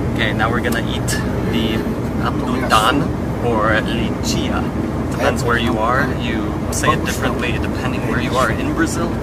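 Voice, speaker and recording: A man talks at a moderate pace. The sound is dry with no echo, over loud background noise. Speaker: travel vlogger. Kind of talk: casual vlog chat. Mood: cheerful, relaxed. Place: car. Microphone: phone near.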